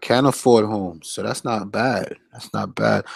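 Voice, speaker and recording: Over a silent background in a very clean recording, a man speaks with a West Indian accent. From Flatbush, Brooklyn, New York, West Indian family. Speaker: fantasy sports analyst streamer. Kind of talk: live stream chat analysis. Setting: live stream reading chat. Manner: casual, hesitant with fillers.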